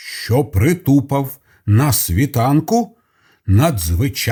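A natural reading voice with lively intonation, quiet background

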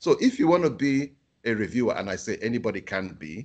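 Against a quiet background, a man at medium pitch talks at a fairly quick pace, his pitch swinging very widely. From Africa. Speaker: journal editor; keynote speaker. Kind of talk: webinar presentation. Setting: video call. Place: home room. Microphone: video call.

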